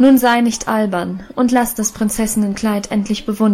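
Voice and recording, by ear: The intonation is fairly even. It belongs to someone reading aloud in a natural voice.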